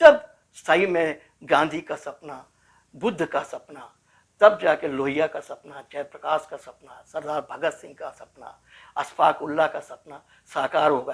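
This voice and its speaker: The recording is very clean, with a silent background. A man speaks with big swings in loudness. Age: 60s. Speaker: former political detainee, social activist. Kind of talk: interview. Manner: emphatic, repetitive oratory.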